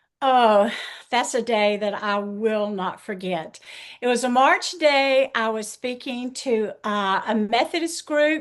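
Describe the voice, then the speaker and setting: Speaking in a Southern US accent, a woman uses a fairly high pitch and lively intonation. Her pace is very slow. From US South. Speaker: author and pastor's wife. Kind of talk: interview testimony.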